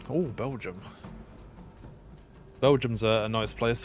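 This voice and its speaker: A man's medium-pitched voice is heard with music behind it. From East Midlands, England. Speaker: gaming livestreamer. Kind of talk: casual livestream commentary. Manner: hesitant, many fillers.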